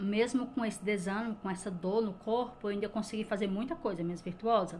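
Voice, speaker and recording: A woman speaks at a moderate pace in a medium pitch with a somewhat breathy quality and fairly even intonation, with light background noise. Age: 40s. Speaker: lifestyle vlogger. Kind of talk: casual vlog talk to camera. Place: kitchen.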